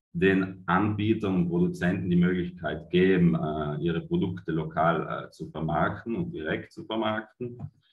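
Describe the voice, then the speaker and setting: A man speaks with a very deep, low pitch and ordinary pitch variation. Audible room echo surrounds him against a quiet background. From Italy. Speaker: cooperative managing director. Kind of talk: conference presentation. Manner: hesitant, many fillers. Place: home room. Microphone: webcam.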